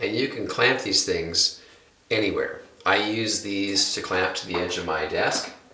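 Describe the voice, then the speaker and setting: Audible echo fills the room around a man. He speaks with an American accent at a moderate pace. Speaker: guitar teacher. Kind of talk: tutorial.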